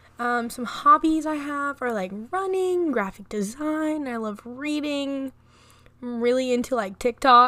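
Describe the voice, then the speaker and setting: A woman raises and projects a high-pitched voice with a bright, sharp tone. She goes at a fairly slow pace with ordinary pitch variation. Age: 20s. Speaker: podcaster. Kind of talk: casual monologue.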